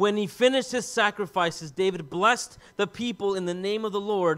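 Someone reads in a natural voice, the pitch shifting in an ordinary way.

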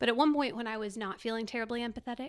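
A woman speaks with an American accent and a fairly high pitch. Hers is an unremarkable speaking voice with ordinary pitch variation. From Texas, Dallas area. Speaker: nonprofit ministry volunteer. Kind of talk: testimony.

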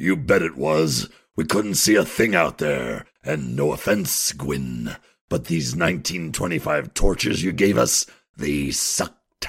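A man's very deep, low voice with lively intonation at a fairly slow pace. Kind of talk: comic radio drama. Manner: grumpy, sarcastic, blunt.

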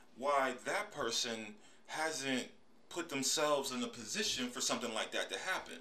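A man with an American accent speaks at medium pitch in a bright, sharp tone. Audible room echo can be heard. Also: lively intonation, moderate pace. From US, Pittsburgh, Pennsylvania. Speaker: podcast host. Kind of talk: casual solo monologue.

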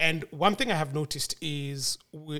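An unremarkable speaking voice at a fairly slow pace, in a very clean recording with a silent background. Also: man. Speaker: podcast guest. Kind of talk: casual discussion.

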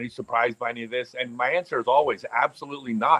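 A man with an American accent talks in an ordinary speaking voice with ordinary pitch variation. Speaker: professional disc golfer. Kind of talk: casual chat.

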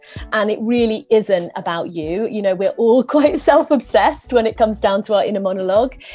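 Through noticeable background noise, a woman with fairly high pitch and lively intonation talks at a fairly quick pace with hardly any pauses. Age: 40s. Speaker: positive psychology coach. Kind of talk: interview.

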